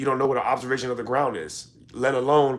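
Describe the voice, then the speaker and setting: At a very fast pace, a man speaks in an animated tone at a medium pitch. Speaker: live streamer, debate host. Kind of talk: heated debate; casual chat. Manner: halting, repeats words.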